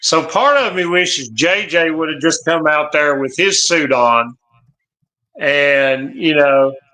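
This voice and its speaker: A man's fairly high, bright, sharp voice at a very slow pace, with ordinary pitch variation. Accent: Southern US. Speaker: wrestling channel guest. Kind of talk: live watch-along commentary.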